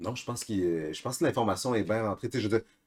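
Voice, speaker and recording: A man with an ordinary speaking voice, fairly low in pitch, ordinary pitch variation and a fairly quick pace. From Bas-Saint-Laurent, Quebec. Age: 20s. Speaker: podcast co-host, skier. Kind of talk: casual chat.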